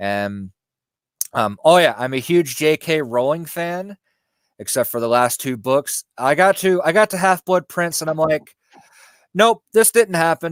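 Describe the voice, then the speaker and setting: Speaking at a fairly slow pace with a slight Southern US accent, a man uses very wide pitch swings in a dry, close sound with no echo. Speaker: YouTube spiritual content creator. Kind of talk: casual interview chat. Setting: live stream video call. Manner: hesitant, many fillers.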